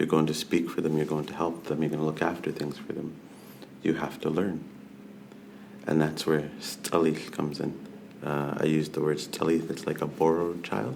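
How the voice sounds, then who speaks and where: In a room with audible echo and noticeable background noise, a man with a very deep, low voice speaks at a moderate pace in a monotone, flat intonation. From Vancouver Island, British Columbia (Coast Salish, Snuneymuxw/Nanaimo). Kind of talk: podcast interview, personal storytelling.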